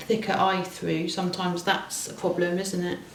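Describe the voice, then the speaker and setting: A woman speaks at a moderate pace with a medium pitch. The recording carries noticeable background noise and audible room echo. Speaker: craft video host. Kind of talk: casual craft tutorial chat. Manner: halting, with false starts.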